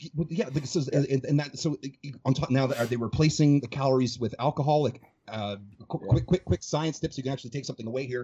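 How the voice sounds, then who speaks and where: Somewhat breathy, a man with a medium-pitched voice talks at a very fast pace. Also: ordinary pitch variation. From Calgary area, Canada. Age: 30s. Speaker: fitness coach. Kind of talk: casual chat. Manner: fast talker.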